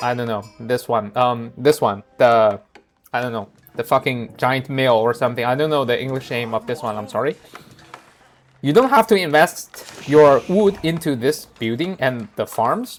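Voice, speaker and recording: A man talks at a moderate pace. He has a non-native accent. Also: medium pitch for a man, ordinary pitch variation. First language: not English. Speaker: gaming video creator. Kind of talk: gameplay commentary tutorial. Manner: halting, many fillers.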